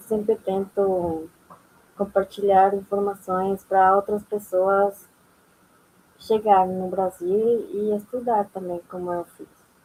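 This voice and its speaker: A woman speaks very slowly at a medium pitch, in a dark, mellow tone. Her intonation is monotone and flat, with long, frequent pauses. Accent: non-native. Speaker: immigrant panelist, former master's student. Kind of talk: panel discussion. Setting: university auditorium event.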